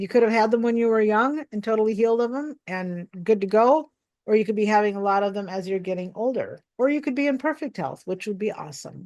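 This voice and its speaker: Against a quiet background, a woman with an American accent talks at a very fast pace with hardly any pauses, fairly high in pitch with ordinary pitch variation. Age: 60s. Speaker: pastor and pastoral counselor. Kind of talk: spiritual teaching talk.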